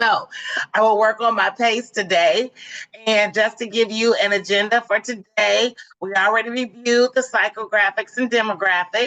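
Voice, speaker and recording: An animated tone at a moderate pace. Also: woman, fairly high pitch for a woman. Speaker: marketing trainer. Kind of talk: webinar presentation.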